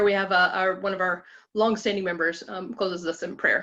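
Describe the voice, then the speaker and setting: With a bright, sharp tone at medium pitch, a woman speaks in fairly even intonation over a quiet background. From Alabama. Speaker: women's ministry group leader. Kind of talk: group presentation. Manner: fast.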